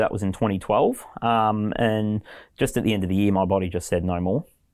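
The background is silent, and the recording is very clean. A man talks with an Australian accent, his pitch varying in an ordinary way. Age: 30s. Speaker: English teacher. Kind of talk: interview.

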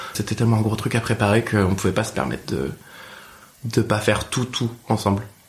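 Over noticeable background noise, a man speaks at a fairly quick pace with long, frequent pauses. His pitch is fairly low, with ordinary variation. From Picardie, France. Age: 20s. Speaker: drag performer. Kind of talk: casual chat.

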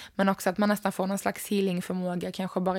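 On a very clean recording with a silent background, a woman speaks at medium pitch with monotone, flat intonation. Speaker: yoga teacher and podcast host. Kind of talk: solo podcast talk on yoga.

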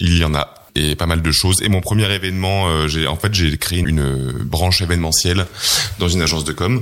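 This man's pitch is very deep and low. He talks at a fairly quick pace with ordinary pitch variation. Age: 30s. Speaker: entrepreneur. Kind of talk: interview. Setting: office.

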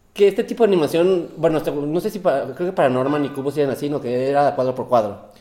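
With noticeable background noise behind him, a man with a fairly high pitch and lively intonation talks at a very fast pace with hardly any pauses. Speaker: podcast co-host. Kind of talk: casual chat. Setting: apartment with echo. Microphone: room echo.

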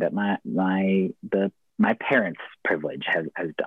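A man talks with a West Coast accent. His pace is very slow. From US, rural Oregon. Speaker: professional wrestler and poet. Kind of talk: casual interview.

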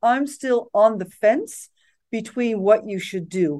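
A woman's fairly high voice, very slow and with lively intonation. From Netherlands, raised partly abroad as expat child. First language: Dutch. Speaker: tech company executive. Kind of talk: interview.

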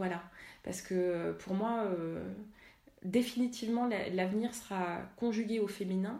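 With audible room echo, a woman at a medium pitch speaks at a fairly slow pace with long, frequent pauses. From Paris suburbs, France. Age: 30s. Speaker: energy healer and workshop leader. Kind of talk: interview. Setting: home kitchen. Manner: animated.

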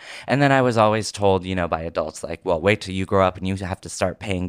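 This man has a plain, everyday voice, fairly low in pitch with ordinary pitch variation and an American accent, recorded very cleanly against a silent background with a dry, close sound and no echo. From Oregon, US. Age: 30s. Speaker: actor and comedian. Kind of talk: casual interview chat.

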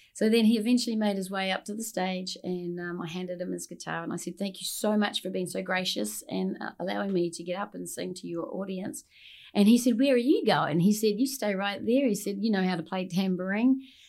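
With hardly any pauses, a woman speaks at a fairly quick pace and with ordinary pitch variation. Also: medium pitch for a woman. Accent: New Zealand. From New Zealand. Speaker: singer-songwriter and bag designer. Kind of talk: casual interview chat. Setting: studio.

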